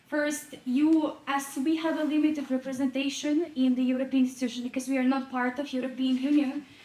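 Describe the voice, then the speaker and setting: A woman's high-pitched voice at a fairly quick pace, monotone, flat intonation, hardly any pauses, and noticeable background noise. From Ukraine. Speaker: audience member, volunteer advocate. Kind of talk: audience question at panel discussion. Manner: halting, with fillers.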